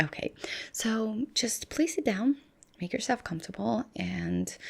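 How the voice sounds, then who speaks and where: A soft-spoken woman with a gentle, calm tone and vocal fry moves through very wide pitch swings. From Hungary. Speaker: ASMR artist. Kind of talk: medical roleplay ASMR. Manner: soft-spoken, gentle, calm.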